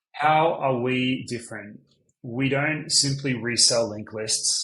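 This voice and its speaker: Ordinary pitch variation from a man with an Australian accent. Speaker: business owner. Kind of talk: sales pitch.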